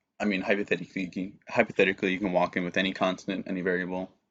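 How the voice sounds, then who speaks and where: Talking at a very fast pace, a man speaks in a very deep, low voice. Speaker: student tutor. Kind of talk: tutorial.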